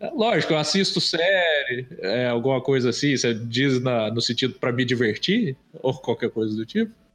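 Against noticeable background noise, a man at a medium pitch talks at a moderate pace with lively intonation, very even loudness and hardly any pauses. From Brazil, interior of Minas Gerais. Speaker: illustrator. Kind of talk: casual chat.

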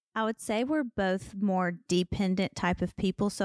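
A woman's normal speaking voice at medium pitch, dry and close with no echo, in a very clean recording with a silent background. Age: 30s. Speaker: podcast co-host. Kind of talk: casual chat.

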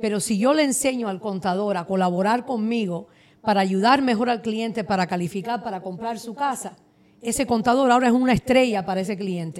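This is an unremarkable speaking voice with ordinary pitch variation. It moves at a fairly quick pace. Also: woman, fairly high pitch for a woman. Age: 40s. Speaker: mortgage broker. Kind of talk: casual chat.

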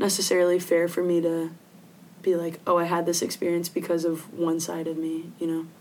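In an American accent, a woman speaks at a moderate pace in a fairly low voice with monotone, flat intonation. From Philippines (Manila) and Virginia, US. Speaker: student athlete. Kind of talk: interview.

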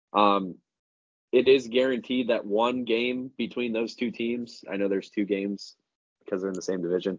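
A man talks in a normal speaking voice at a moderate pace. His pitch is medium and his intonation fairly even. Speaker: sports betting podcast co-host. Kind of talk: casual chat.

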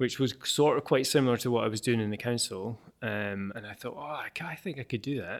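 A man with an Edinburgh accent talks at a fairly quick pace with hardly any pauses, using a medium pitch, ordinary pitch variation, and big swings in loudness, on a very clean recording with a silent background. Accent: Scottish (Edinburgh). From Scotland, Edinburgh. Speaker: air quality researcher and app developer. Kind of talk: interview. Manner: hesitant, many fillers and repetitions.

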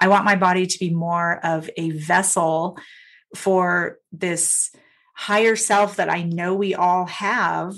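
At a very slow pace, a woman speaks at a medium pitch with monotone, flat intonation. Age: 50s. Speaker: sound healer and spiritual coach. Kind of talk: casual chat.

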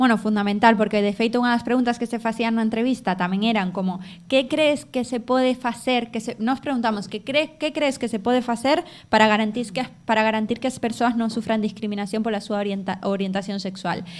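A woman with an ordinary speaking voice, fairly high in pitch, at a fairly quick pace with ordinary pitch variation and hardly any pauses. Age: 20s. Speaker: podcast host and teacher. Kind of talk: live show with audience. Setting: café with live audience.

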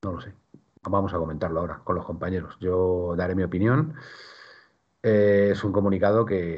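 A man's very deep, low voice with ordinary pitch variation, at a moderate pace with long, frequent pauses. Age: 50s. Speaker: football podcast host. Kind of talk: casual chat. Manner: halting, many repetitions.

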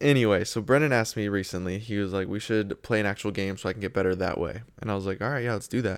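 With an American accent, a man talks at a very fast pace in a fairly low pitch, captured in a very clean recording with a silent background. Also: ordinary pitch variation. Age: 20s. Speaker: podcast co-host. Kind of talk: casual chat.

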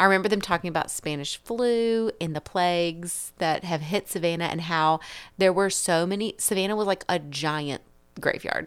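A woman's plain, everyday voice, medium in pitch, at a moderate pace with fairly even intonation. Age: 30s. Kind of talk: casual chat.

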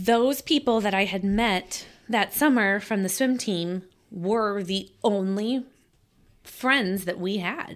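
A woman at a very slow pace, very cleanly recorded over a silent background. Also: medium pitch for a woman, ordinary pitch variation. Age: 40s. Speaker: business owner. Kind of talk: casual chat.

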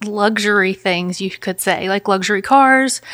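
On a very clean recording with a silent background, a woman with a Memphis accent speaks at a moderate pace in a medium pitch with ordinary pitch variation. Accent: US Southern (Memphis). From Memphis, Tennessee. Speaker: counselor and business owner. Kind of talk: interview.

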